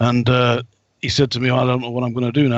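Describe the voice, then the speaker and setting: A man with an English accent talks at a medium pitch. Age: 60s. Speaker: psychic and ex-soldier. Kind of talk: casual interview talk.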